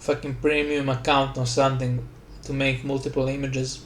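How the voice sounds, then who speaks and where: With a Slavic accent, a man speaks at a fairly quick pace in a fairly high pitch, and the room echo is audible. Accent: Slavic, noticeable. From Slavic country. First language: Slavic language. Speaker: gaming YouTuber. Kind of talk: casual voice-over commentary rant. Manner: rambling, halting.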